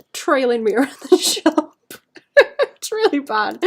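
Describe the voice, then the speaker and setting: A woman's pitch rises and falls very widely while she talks at a moderate pace. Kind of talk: casual, chatty.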